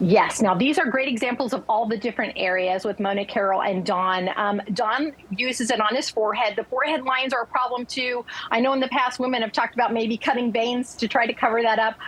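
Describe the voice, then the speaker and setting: In an upbeat, enthusiastic tone, a woman talks at a very fast pace with hardly any pauses, her pitch fairly high with ordinary variation. Her loudness stays very even over noticeable background noise. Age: 60s. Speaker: lifestyle consultant promoting a skincare product. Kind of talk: sales pitch on TV morning show.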